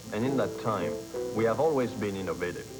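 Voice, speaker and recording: Background music accompanies a man whose voice sits fairly low. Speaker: grocery chain vice president. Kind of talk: corporate interview answer. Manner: stilted.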